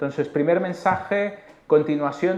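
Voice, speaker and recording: A man with a Mexican accent at a moderate pace, ordinary pitch variation, and audible room echo. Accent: Mexican accent, noticeable in Spain. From Mexico. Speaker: chief economist. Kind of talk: conference presentation. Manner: hesitant with frequent filler 'eh'.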